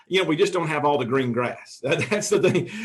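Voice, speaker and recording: A man is speaking. He has a Tennessee accent. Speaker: realtor. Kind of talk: interview. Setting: video call. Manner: halting.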